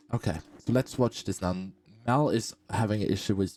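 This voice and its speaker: A man's fairly low, dark and mellow voice with a non-native accent, at a moderate pace. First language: not English. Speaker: gaming streamer. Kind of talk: video commentary. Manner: halting, repeats words.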